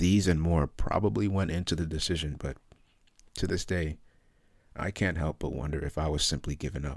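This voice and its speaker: Very deep, low pitch from a man, with vocal fry, ordinary pitch variation, and long, frequent pauses. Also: fairly quick pace. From London, England. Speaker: memoir author. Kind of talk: reading aloud.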